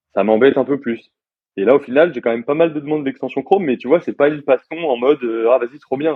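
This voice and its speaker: A man talks at a very fast pace with ordinary pitch variation. His pitch is fairly high. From France. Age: 20s. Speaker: software developer. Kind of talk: casual interview. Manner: casual, many hesitations.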